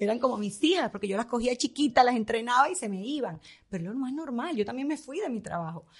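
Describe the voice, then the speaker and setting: At a very fast pace, a woman speaks in a high pitch. Her intonation is lively. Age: 50s. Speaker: fashion stylist. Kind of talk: interview.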